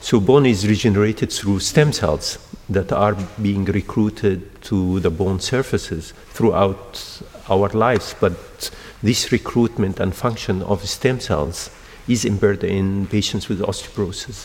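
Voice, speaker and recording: Amid noticeable background noise, a man speaks fairly slowly at a fairly low pitch with ordinary pitch variation. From Egypt. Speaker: endocrinologist and stem cell researcher. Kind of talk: interview. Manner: halting.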